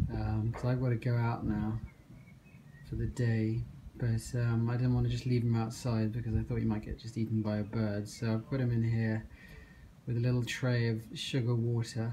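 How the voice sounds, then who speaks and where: Light background noise sits behind a man speaking at a moderate pace. His voice is somewhat breathy, and his intonation is monotone and flat. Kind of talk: casual vlog chat. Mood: gentle, caring, hopeful. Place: home room. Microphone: phone near.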